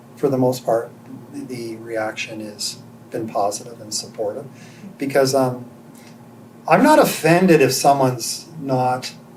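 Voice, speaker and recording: In a room with audible echo, a man of medium pitch speaks at a fairly slow pace with long, frequent pauses, ordinary pitch variation and big swings in loudness. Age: 60s. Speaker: interviewee sharing life story. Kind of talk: interview testimony.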